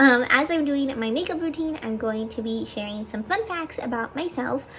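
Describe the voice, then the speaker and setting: A woman speaks at a moderate pace with a high pitch and lively intonation. Noticeable background noise runs behind her. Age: 20s. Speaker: lifestyle vlogger. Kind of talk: casual chat. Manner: casual, filler-heavy.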